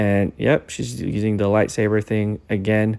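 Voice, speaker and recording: A man with a dark, mellow tone. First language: not English. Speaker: husband doing comedic voice-over. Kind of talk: comedic voice-over commentary on a hair tutorial. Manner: casual, joking running commentary.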